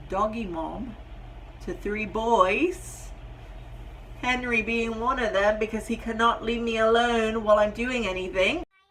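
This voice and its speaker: A woman's fairly high, animated voice at a fairly slow pace, with audible room echo. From Britain. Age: 30s. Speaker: vlogger and nurse. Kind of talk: casual vlog introduction. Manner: chatty, animated.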